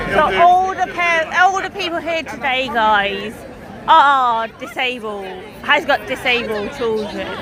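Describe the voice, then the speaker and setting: A raised, projected voice swings very widely in pitch at a fairly slow pace, with audible room echo and crowd noise in the background. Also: woman, high pitch for a woman. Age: 30s. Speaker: livestreamer covering a protest. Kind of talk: casual chat and live reporting. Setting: outdoors at a protest. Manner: halting.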